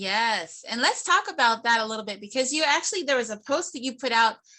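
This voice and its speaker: Bright and sharp, a woman's fairly high voice sounds excited and energetic, with lively intonation. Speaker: real estate show host. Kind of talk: casual interview chat. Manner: fast-talking; excited, energetic.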